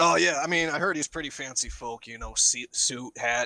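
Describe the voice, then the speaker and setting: A man's raspy, put-on character voice at a medium pitch, with big swings in loudness, a moderate pace and a dry, close sound with no echo. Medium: actual play. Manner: casual, folksy, talkative.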